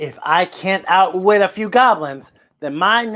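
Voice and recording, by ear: Over a quiet background, a natural voice reads aloud.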